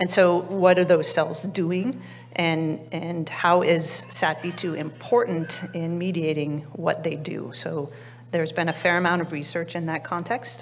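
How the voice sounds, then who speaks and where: A quiet woman at a fairly low pitch and fairly slow pace, with fairly even intonation over light background noise. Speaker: biology researcher; presenter. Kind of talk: conference talk. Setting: conference stage with audience. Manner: halting, many fillers; quiet, weak projection. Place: hall. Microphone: podium.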